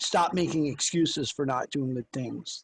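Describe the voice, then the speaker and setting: The voice is somewhat breathy with ordinary pitch variation, captured with a dry, close sound and no echo. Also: man. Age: 50s. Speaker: podcast co-host. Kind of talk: casual chat.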